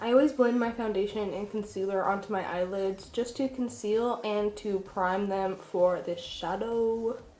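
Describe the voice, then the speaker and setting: A woman's voice over noticeable background noise. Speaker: beauty vlogger and makeup artist. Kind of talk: makeup tutorial. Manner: casual and chatty.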